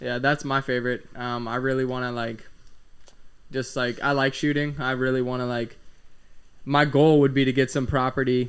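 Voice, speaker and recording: A man speaks at medium pitch with monotone, flat intonation. His pauses are long and frequent. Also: moderate pace. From Florida. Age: 20s. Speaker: podcast host. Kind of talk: casual chat.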